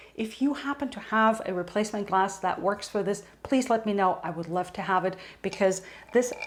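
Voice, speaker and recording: A woman with a slight German accent talks at a moderate pace. Her pitch is medium, with ordinary variation. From Germany. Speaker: homesteading lifestyle vlogger. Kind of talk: casual tutorial.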